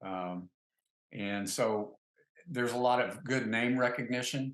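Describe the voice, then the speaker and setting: This man talks very slowly with an American accent. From US South. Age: 60s. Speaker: wine distributor, company founder. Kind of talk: interview. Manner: halting, many fillers.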